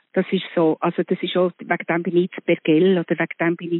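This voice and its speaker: With an unremarkable speaking voice, a woman talks at a moderate pace and a fairly low pitch. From Switzerland, Bern. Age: 60s. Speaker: actress. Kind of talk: casual chat. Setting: phone call.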